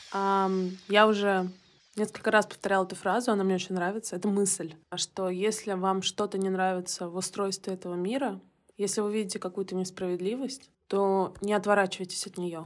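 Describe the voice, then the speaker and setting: A woman talks at a medium pitch and a moderate pace. Her intonation is monotone and flat. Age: 30s. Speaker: digital marketer and volunteer. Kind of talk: recorded voice message testimony.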